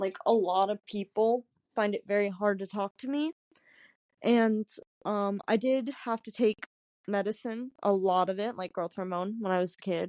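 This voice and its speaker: At a moderate pace, a woman with a medium-pitched voice keeps a fairly even intonation while her loudness swings a lot, in a dry, close recording with no echo and a quiet background. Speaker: podcast co-host. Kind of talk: casual chat. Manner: hard to understand.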